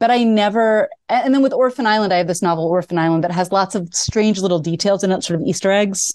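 A woman's medium-pitched voice at a very fast pace, with ordinary pitch variation, very even loudness and hardly any pauses. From US, suburban Baltimore. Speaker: children's author. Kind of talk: interview conversation.

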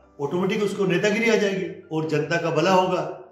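Music plays behind a man speaking at a high pitch in a room with audible echo. He keeps a moderate pace and fairly even intonation. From Rajasthan, Mewar region (near Bhinder). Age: 60s. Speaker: local politician and cable business owner. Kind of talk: interview testimony.

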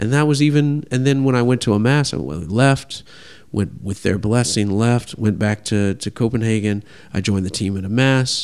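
A man speaks in an ordinary speaking voice, medium in pitch, at a moderate pace. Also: ordinary pitch variation. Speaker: pastry chef. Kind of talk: interview conversation.

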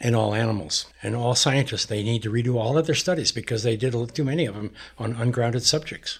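Somewhat breathy, a man speaks at a medium pitch and a very fast pace with hardly any pauses and ordinary pitch variation. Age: 70s. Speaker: grounding product advocate. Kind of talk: interview.

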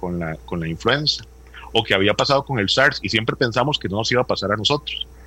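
A man's voice has a bright, sharp tone with vocal fry. His intonation is lively. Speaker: doctor, health administrator. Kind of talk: interview.

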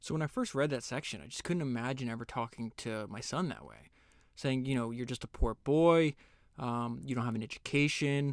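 A man's plain, everyday voice at a medium pitch and fairly quick pace, in a very clean recording with a silent background. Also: ordinary pitch variation. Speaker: podcast host summarizing books. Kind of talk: book summary with read-aloud excerpts and commentary. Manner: casual, conversational with filler words.

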